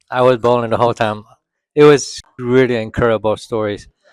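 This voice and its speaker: Heard in a dry, close recording with no echo, a man with a Vietnamese accent speaks at a medium pitch. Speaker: moviegoer interviewed after screening. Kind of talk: casual interview. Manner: halting, many fillers.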